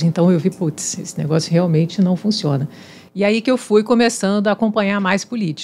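A woman speaks with ordinary pitch variation in a normal speaking voice. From Espírito Santo, Brazil. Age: 50s. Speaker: civil engineer and university professor; university professor. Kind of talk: casual chat; interview answer. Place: studio. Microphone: studio mic.

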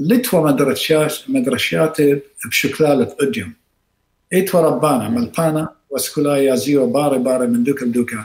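The intonation is lively, and there is audible room echo. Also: man, fairly high pitch for a man, moderate pace. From Iraq. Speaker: surgeon and professor; professor. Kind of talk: interview. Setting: video call. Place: home room.

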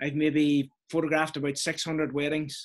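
A man with a Donegal accent speaks at a fairly slow pace and a fairly high pitch against a quiet background. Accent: Irish, Donegal. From northwest Ireland, Donegal. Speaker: interview guest, wedding photographer. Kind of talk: interview answer. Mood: warm, grateful, chatty. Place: home room. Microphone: video call.

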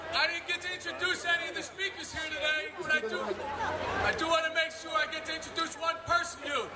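Against loud background noise, a man speaks at a very fast pace. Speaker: union vice president. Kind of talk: rally speech, fiery union call to action before a crowd. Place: street.

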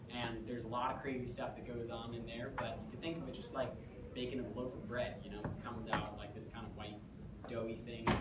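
Loud background noise and audible room echo surround speech at a fairly quick pace. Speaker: presenter. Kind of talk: lecture. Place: classroom. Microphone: camera far.

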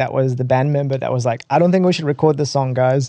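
A man speaks at a very fast pace in a medium pitch. His tone is dark and mellow. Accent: New Zealand. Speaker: rock band vocalist. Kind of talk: casual interview chat.

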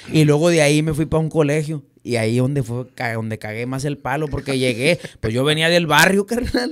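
Against a quiet background, a man speaks at a fairly quick pace. His pitch is fairly high. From Reynosa, Tamaulipas, Mexico; Tamaulipas, Mexico. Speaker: norteño musician; podcast guest. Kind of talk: casual interview. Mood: relaxed, joking storytelling. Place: studio. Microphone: studio mic.

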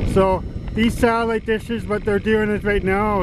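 Noticeable background noise over a dry sound with no echo. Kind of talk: casual vlog chat. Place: open country. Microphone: old recording.

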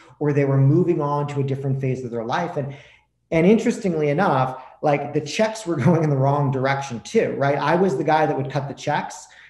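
Over a quiet background with audible room echo, a man talks at a fairly quick pace with ordinary pitch variation. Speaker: podcast guest. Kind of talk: interview answer. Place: home room. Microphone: video call.

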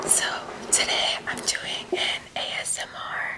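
Very slowly, a woman speaks. She whispers. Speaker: ASMR creator. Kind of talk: ASMR eating video, casual talk to camera. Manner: whispered, soft. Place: kitchen.

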